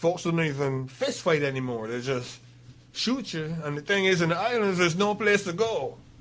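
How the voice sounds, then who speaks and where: With very wide pitch swings, a man speaks at a moderate pace in a room with audible echo. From Barbados. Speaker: author. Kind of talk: radio interview.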